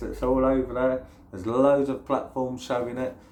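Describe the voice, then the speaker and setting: A man with a slight London accent and a medium-pitched voice. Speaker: YouTuber. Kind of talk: casual vlog monologue. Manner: hesitant, many fillers.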